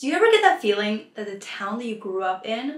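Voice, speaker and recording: Noticeable background noise under fairly quick talking. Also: woman. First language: not English. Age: 20s. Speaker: lifestyle vlogger. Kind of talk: casual tutorial.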